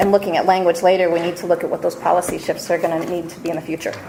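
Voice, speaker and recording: There is noticeable background noise as a woman speaks at a very fast pace. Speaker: education policy presenter. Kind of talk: formal presentation.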